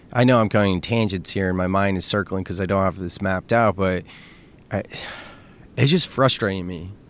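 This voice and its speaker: A man speaks at a fairly quick pace in a very deep, low voice, with ordinary pitch variation and long, frequent pauses. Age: 30s. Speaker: podcast host. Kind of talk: solo podcast monologue. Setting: outdoors at the beach. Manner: casual, unscripted and tangential.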